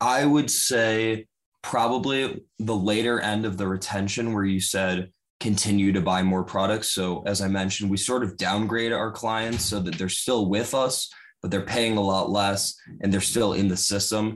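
A man's fairly low voice, a plain, everyday voice, with fairly even intonation at a moderate pace. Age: 20s. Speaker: college student gym owner. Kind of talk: podcast interview.

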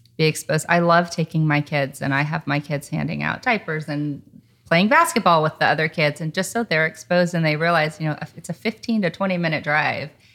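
A woman's very deep, low-pitched voice at a fairly quick pace, with fairly even intonation. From Germany and Netherlands, then Oklahoma. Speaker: health nonprofit CEO. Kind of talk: interview. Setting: host's home. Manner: calm.

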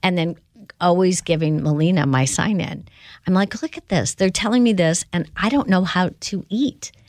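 A woman's normal speaking voice with an American accent, moderate pace and lively intonation, on a very clean recording with a silent background. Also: fairly low pitch for a woman. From US Midwest (South Bend, Indiana). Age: 60s. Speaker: company founder and CEO. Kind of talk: interview.

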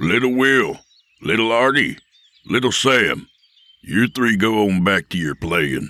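A man growls in a put-on character voice at a medium pitch, with lively intonation. He goes at a fairly slow pace, with long, frequent pauses. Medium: read story. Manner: commanding, menacing.

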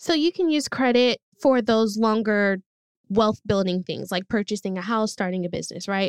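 An ordinary speaking voice from a woman, fairly high in pitch with ordinary pitch variation, in a dry, close sound with no echo. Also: moderate pace. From US West Coast (East Oakland, California). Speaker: credit-building company community lead. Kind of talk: podcast interview.

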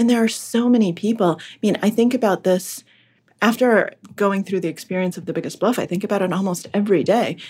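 In a General American accent, a woman speaks at a fairly quick pace and medium pitch, somewhat breathy, with ordinary pitch variation and big swings in loudness. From Massachusetts (Boston suburbs), born in Russia. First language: Russian. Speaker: author and podcaster. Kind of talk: casual interview chat.

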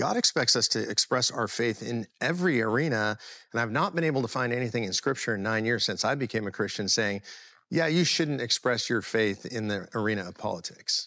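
Speaking at a fairly quick pace with a General American accent, a man uses a medium pitch, a bright, sharp tone and ordinary pitch variation on a very clean recording with a silent background. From US West Coast (Los Angeles). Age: 60s. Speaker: political activist. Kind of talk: interview.

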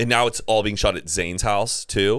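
In a very clean recording with a silent background, a normal speaking voice moves at a moderate pace. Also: man. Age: 30s. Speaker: podcast host. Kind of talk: casual chat.

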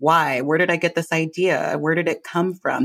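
A woman's plain, everyday voice, fairly low in pitch, with an American accent on a very clean recording with a silent background. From US West Coast (Los Angeles). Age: 30s. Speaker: mindfulness teacher. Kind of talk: casual interview. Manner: laughs often.

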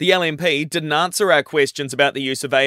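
Speaking with an Australian accent, a man uses a fairly high pitch, a bright, sharp tone and ordinary pitch variation at a moderate pace, in a very clean recording with a silent background and a dry, close sound with no echo. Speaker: radio news reader. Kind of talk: radio news bulletin reading, brisk and formal, steady even delivery. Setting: studio. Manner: brisk; formal.

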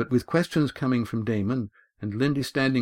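In a quiet background, the pitch of an unforced reading voice shifts in an ordinary way.

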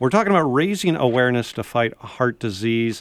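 Speaking in an ordinary speaking voice at a fairly quick pace, a man with medium pitch is captured on a very clean recording with a silent background and a dry, close sound with no echo. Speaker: radio host. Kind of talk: radio interview. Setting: studio.

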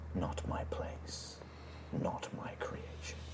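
A man performs a put-on character voice over loud background noise. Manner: faint whisper.

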